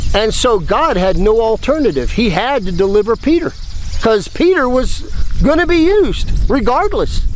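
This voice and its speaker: A man with an American accent speaks at an extremely high pitch with very wide pitch swings. His pace is moderate, the sound dry with no echo, and there is light background noise. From United States. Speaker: missionary preacher. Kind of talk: sermon. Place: waterside. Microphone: phone near.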